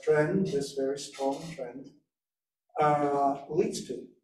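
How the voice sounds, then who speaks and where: A man at a very slow pace, with light background noise and audible room echo. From Russia. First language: Russian. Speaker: interpreter and arms control expert, roundtable guest. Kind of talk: conference presentation. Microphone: video call.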